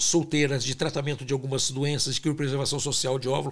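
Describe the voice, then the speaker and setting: A man speaks at a fairly high pitch, somewhat breathy. The recording is very clean with a silent background. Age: 60s. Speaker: fertility doctor and scientist. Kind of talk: interview.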